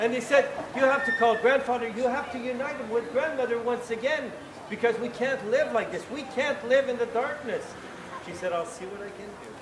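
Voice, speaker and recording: Over noticeable background noise, a man with an extremely high pitch talks at a fairly quick pace, with ordinary pitch variation and big swings in loudness. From Quebec, Canada. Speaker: town crier. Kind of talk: storytelling to a live audience.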